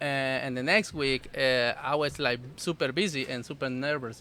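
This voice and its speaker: Someone speaks with a Salvadoran accent over music in the background. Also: man. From El Salvador. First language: Spanish. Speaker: food business owner. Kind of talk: casual interview. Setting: outdoors at festival. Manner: halting, many fillers.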